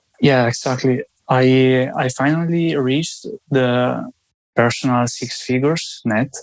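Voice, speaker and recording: A man with an Italian accent talks at a fairly slow pace, his medium pitch held in fairly even intonation. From Italy. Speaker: sales team coordinator. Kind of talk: interview. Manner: halting.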